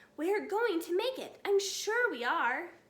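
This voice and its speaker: A woman does a put-on character voice, pitched extremely high and delivered at a fairly slow pace. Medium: read story.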